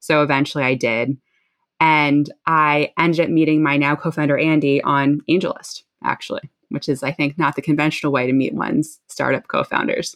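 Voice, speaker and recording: In a dry, close sound with no echo and a quiet background, a woman with an American accent speaks at a very deep, low pitch with fairly even intonation. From New Jersey. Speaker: startup founder and CEO. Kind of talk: interview.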